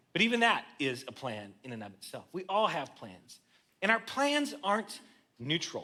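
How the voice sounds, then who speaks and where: A man's raised, projected voice, high in pitch, with very wide pitch swings and big swings in loudness. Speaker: guest preacher. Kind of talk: sermon. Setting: church. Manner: fast; casual, conversational.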